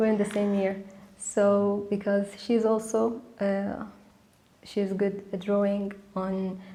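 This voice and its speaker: A woman speaks at a very slow pace with long, frequent pauses, in a monotone, flat intonation at a medium pitch. Her tone is dark and mellow, and there is audible room echo. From Sudan. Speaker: architecture student. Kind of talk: interview. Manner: halting.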